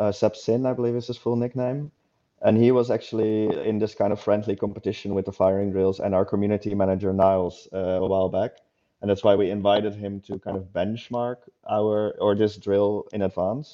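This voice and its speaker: A plain, everyday voice belongs to a man with a fairly low pitch. He talks at a fairly quick pace with fairly even intonation. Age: 30s. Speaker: game developer. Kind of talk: casual interview.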